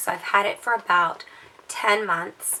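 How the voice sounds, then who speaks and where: Noticeable background noise runs under a woman speaking at a medium pitch with fairly even intonation. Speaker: handbag reviewer. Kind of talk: casual vlog. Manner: hesitant, many fillers.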